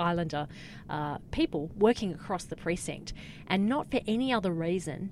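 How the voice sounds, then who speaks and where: A woman's fairly low voice with an Australian accent. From Australia, Cairns, Queensland. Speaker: communications consultant, former journalist. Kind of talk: interview. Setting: studio.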